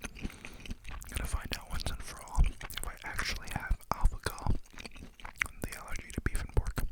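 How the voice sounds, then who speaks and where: A woman whispers over noticeable background noise, her loudness swinging widely. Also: moderate pace. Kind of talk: ASMR whispered eating video with rambling talk. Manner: whispered, soft-spoken.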